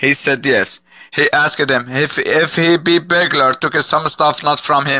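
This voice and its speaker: A man's fairly high, bright, sharp voice, monotone, flat intonation, very even loudness and a fairly slow pace, in dry sound with no echo. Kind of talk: heated debate. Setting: video call. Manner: loud, insistent, repetitive. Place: home room. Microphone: headset.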